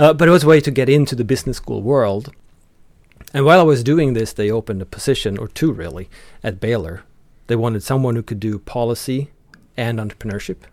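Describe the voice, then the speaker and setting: A man talks at a very fast pace with lively intonation and a medium pitch. The recording is very clean, with a silent background. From Sweden. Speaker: economics professor. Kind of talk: interview.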